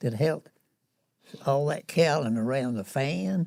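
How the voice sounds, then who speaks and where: A man with a Southern US accent speaks in a fairly high voice with a dark, mellow tone. His intonation is lively and his pace moderate. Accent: Southern American. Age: 80s+. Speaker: war veteran. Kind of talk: interview answer.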